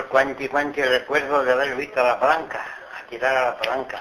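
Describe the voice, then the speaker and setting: A fairly high-pitched man with an Extremaduran accent, over noticeable background noise. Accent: rural Extremaduran Spanish. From Extremadura, Spain. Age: 80s+. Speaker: farm worker. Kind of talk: dialect interview answer. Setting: home recording.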